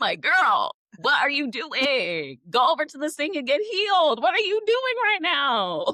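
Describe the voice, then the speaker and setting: A woman with an extremely high pitch and very wide pitch swings projects a raised voice at a fairly slow pace with hardly any pauses. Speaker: podcast host. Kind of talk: casual chat. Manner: loud, animated.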